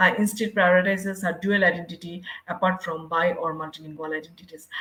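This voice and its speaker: Speaking at a fairly quick pace with a Bangladeshi accent, a woman with a medium-pitched voice is heard over noticeable background noise. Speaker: university English lecturer, researcher. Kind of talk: conference presentation. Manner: halting, with frequent fillers.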